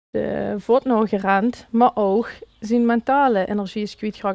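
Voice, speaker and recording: Fairly even intonation in a woman's fairly high voice. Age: 30s. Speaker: dog coach. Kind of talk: interview answer.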